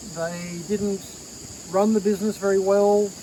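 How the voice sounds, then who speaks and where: A man with an Australian accent speaks loudly in a high voice at a fairly slow pace. Noticeable background noise is present. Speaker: vintage goods dealer. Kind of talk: casual show-and-tell video.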